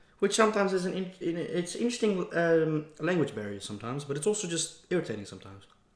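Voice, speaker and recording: Speaking very fast with hardly any pauses, a man with a Dutch accent uses a high pitch and very wide pitch swings. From Netherlands. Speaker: mukbang vlogger. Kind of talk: casual chat. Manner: casual, relaxed.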